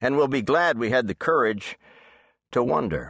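With a dry, close sound and no echo, a man talks at a moderate pace with lively intonation in an ordinary speaking voice over a quiet background. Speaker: audiobook narrator. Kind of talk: dramatic audiobook narration for kids, reading aloud. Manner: suspenseful, hushed storyteller pacing that builds tension.

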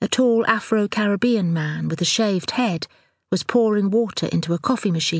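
The setting stays quiet. A natural voice reads aloud, its pitch varying in an ordinary way.

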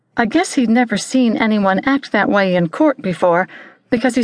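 Natural-sounding reading aloud

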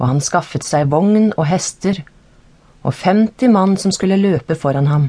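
A fairly low-pitched woman's voice, dark and mellow in tone and somewhat breathy, with lively intonation, very even loudness, a fairly slow pace, and a quiet background. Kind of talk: audiobook reading of scripture, narrated Bible text. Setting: studio. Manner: formal, steady, measured narration; even and unacted, no character voices.

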